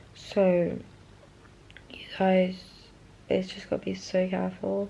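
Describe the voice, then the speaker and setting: A woman speaks quietly. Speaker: vlogger. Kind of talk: casual vlog chat. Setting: holiday apartment room.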